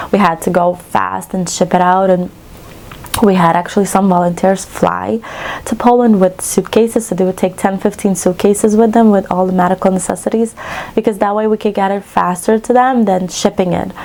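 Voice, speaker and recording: A woman speaks at a fairly quick pace with a medium pitch and fairly even intonation, over noticeable background noise. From western Ukraine. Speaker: cross-stitch vlogger. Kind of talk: casual chat.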